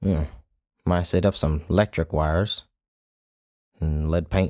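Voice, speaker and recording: A man mumbles in a put-on character voice, pitched very deep and low, at a fairly slow pace with fairly even intonation. The sound is dry and close with no echo, in a very clean recording with a silent background. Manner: mumbling to himself.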